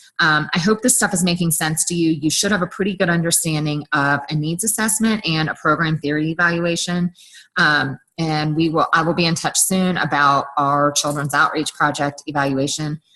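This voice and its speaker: A woman's very deep, low pitch with a bright, sharp tone, ordinary pitch variation, and a moderate pace. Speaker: university lecturer. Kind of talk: recorded online lecture.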